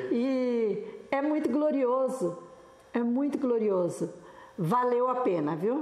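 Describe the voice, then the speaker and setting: A woman with a high pitch speaks at a very slow pace, with long, frequent pauses and lively intonation. Her loudness stays very even, and audible room echo surrounds her. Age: 70s. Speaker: pastor's widow. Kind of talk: interview.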